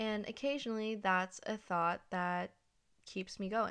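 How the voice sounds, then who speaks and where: A woman speaks with monotone, flat intonation in a very clean recording with a silent background. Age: 20s. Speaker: podcast host. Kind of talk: casual monologue.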